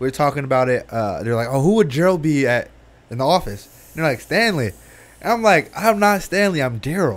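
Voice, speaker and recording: An animated man talks at a fairly quick pace. His pitch swings very widely. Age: 20s. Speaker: podcast co-host. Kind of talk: casual chat. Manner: animated, laughing. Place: studio. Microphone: studio mic.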